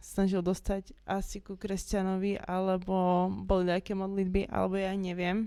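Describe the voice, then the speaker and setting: A woman with a dark, mellow tone speaks at a fairly slow pace in a flat monotone. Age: 20s. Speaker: former satanist giving testimony. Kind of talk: testimony.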